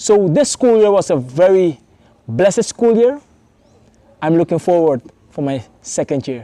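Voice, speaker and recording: A man with a non-native accent speaks at a moderate pace, his high voice dark and mellow in tone with very wide pitch swings. Long, frequent pauses break up his speech. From Suriname. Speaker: theology student. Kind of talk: testimony.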